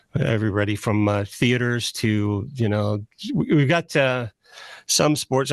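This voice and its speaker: A plain, everyday voice from a man, dry and close with no echo, fairly slow, with ordinary pitch variation and very even loudness. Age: 60s. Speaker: radio host. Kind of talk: casual chat.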